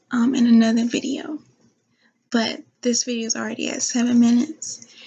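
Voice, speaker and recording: Soft-spoken whispering at a moderate pace. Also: woman. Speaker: vlogger, truck driver. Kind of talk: casual vlog talk to camera. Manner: whispering a little, soft; hesitant, many fillers. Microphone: new laptop mic.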